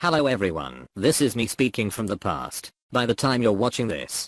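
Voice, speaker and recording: A man of medium pitch talks at a moderate pace with vocal fry. The sound is dry and close with no echo. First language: Slovene. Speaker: gaming YouTuber. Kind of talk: scripted narration.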